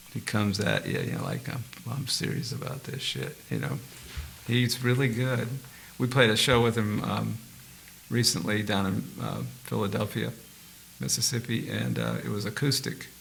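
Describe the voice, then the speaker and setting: A man speaks at a moderate pace with long, frequent pauses over noticeable background noise. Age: 70s. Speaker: session guitarist. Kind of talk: casual interview chat. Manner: animated.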